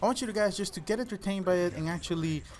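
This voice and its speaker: At a very fast pace, a high-pitched man speaks with a Spanish accent. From El Salvador. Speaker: gaming YouTuber. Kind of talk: personal storytelling vlog.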